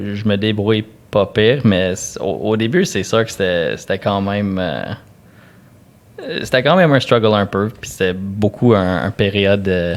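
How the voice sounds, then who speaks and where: A man speaks with an English accent and a fairly low pitch, with ordinary pitch variation. His pace is fairly slow, with long, frequent pauses. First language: English (speaking French). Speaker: podcast host. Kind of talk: casual chat.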